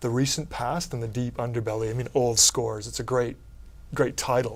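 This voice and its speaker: This man speaks with a Canadian accent at a medium pitch. His intonation is monotone and flat. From Canada. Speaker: thriller author. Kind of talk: interview. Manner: casual, hesitant.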